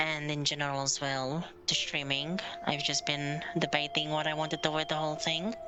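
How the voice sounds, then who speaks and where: Delivered at a moderate pace with fairly even intonation, the speech sits over noticeable background noise. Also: woman, very deep, low pitch for a woman. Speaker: video game streamer. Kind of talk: casual gameplay stream talk. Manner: monotone.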